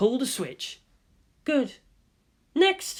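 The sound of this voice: Someone uses a put-on character voice with big pitch swings at a very slow pace.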